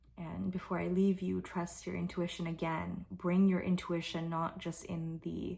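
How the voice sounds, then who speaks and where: A soft-spoken woman with a fairly low pitch and a relaxed tone, on a very clean recording with a silent background. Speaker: spiritual tarot reader. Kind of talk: intuitive reading monologue.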